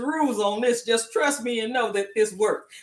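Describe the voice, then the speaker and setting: At a moderate pace, a woman talks in an animated tone with lively intonation and a fairly high pitch. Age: 60s. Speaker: home cooking show host. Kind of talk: cooking tutorial. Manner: casual.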